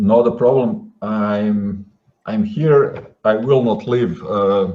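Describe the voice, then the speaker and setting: A man speaks very slowly with a non-native accent and fairly even intonation. His pitch is fairly low, and there is audible room echo. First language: not English. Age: 40s. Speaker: guest. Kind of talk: interview. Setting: live online show. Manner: halting, many fillers.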